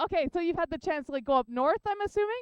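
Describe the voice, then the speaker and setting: A woman speaks loudly. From Canada. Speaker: heliophysics professor. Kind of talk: public science lecture. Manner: casual, filler-heavy.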